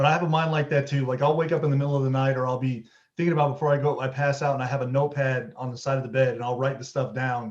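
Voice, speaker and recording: Very fast and somewhat breathy, a man talks at a fairly high pitch with fairly even intonation. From Louisiana, Baton Rouge. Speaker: podcast host. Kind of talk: casual interview chat. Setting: podcast interview.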